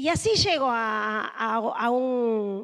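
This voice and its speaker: The voice belongs to a woman. Her pitch is high. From northern Peru (Chepén). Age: 40s. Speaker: union leader. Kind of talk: panel talk. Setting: room with audience.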